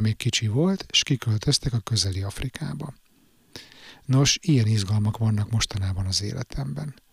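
A man speaks at a moderate pace and medium pitch, somewhat breathy, with lively intonation. The sound is dry and close with no echo, on a very clean recording with a silent background. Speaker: podcaster reading own blog. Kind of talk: reading aloud.

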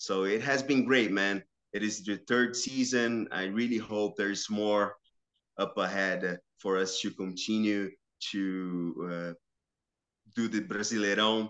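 A man's fairly low-pitched voice with a Portuguese accent, fairly slow, with fairly even intonation and long, frequent pauses. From Brazil, São Caetano (Metro São Paulo). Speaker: sports journalist and football commentator. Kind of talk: casual interview. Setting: remote call.

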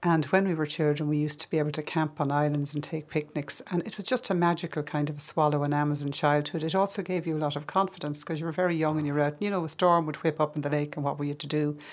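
In an Irish accent, a woman with a very deep, low pitch talks at a very fast pace with hardly any pauses and fairly even intonation. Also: very clean recording, silent background. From Ireland, Kildare and the Midlands. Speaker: filmmaker. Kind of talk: interview.

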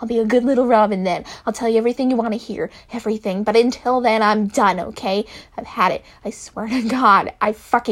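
The speaker reads aloud plainly. The intonation stays fairly even.

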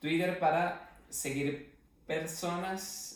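A man's voice with audible room echo. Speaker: podcast co-host. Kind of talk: casual chat.

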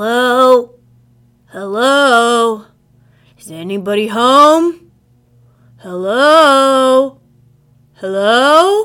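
A female-sounding, high-pitched put-on character voice speaks at a very slow pace. Long pauses come often. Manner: calling out, questioning.

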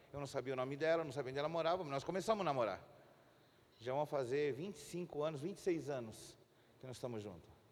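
This man's voice sits fairly high, with ordinary variation in pitch. He talks at a fairly quick pace. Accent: Spanish. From Chile. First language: Spanish (speaking Portuguese). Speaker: pastor. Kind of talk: sermon. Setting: church.

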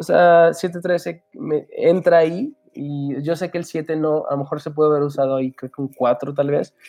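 Here is a man with an ordinary speaking voice. He talks at a fairly slow pace with fairly even intonation. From Aguascalientes, Mexico, raised in Houston. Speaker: musician. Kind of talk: casual chat.

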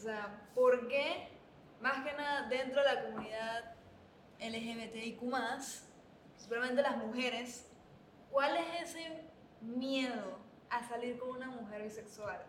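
Amid audible room echo and noticeable background noise, a woman speaks very slowly at a high pitch with ordinary pitch variation and big swings in loudness. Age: 20s. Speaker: podcast co-host. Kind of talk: casual chat.

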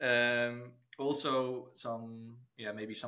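Monotone, flat intonation in a bright, sharp tone. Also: man. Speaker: podcast co-host. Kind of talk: casual chat.

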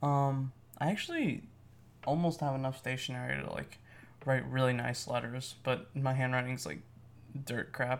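Using fairly even intonation, a man at medium pitch talks at a moderate pace with long, frequent pauses. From US, Mexican-American family. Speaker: podcast host. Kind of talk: casual monologue. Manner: casual, hesitant with many fillers.

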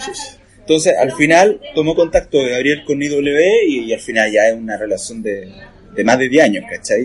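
A man with a Chilean accent at a moderate pace, amid noticeable background noise. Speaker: comic artist. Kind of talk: casual chat.

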